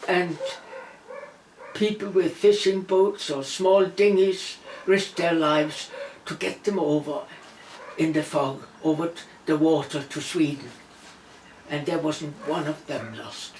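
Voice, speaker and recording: Speaking with a Danish accent at a fairly slow pace, a woman with a fairly low pitch and ordinary pitch variation leaves long, frequent pauses, her loudness swinging widely over noticeable background noise. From Denmark. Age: 80s+. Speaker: interviewee recalling wartime childhood. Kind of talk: personal testimony.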